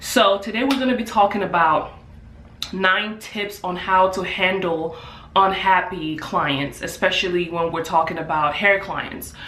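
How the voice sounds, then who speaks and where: At a fairly slow pace, a woman speaks at medium pitch with ordinary pitch variation, amid noticeable background noise and audible room echo. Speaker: hairstylist and beauty business owner. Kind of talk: vlog tutorial. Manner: casual with filler words.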